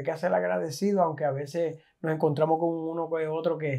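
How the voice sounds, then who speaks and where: Against a quiet background, a man with a fairly high pitch and a dark, mellow tone talks at a fairly quick pace in a monotone, flat intonation. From Puerto Rico. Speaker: food content creator, chef; food content creator. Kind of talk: casual interview. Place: home room. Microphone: lapel.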